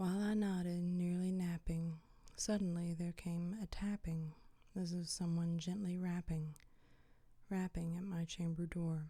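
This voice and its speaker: Her voice fairly low and somewhat breathy, a woman speaks at a fairly slow pace in a dark, mellow tone with flat, monotone intonation. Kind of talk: ASMR poetry reading. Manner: soft, whispered, relaxing.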